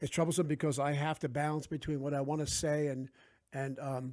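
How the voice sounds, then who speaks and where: The tone is dark and mellow, with a New Jersey accent. The pace is fairly quick, and the intonation stays fairly even. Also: man, very clean recording, silent background. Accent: New Jersey American. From South Jersey, US. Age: 50s. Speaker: author. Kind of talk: casual interview chat.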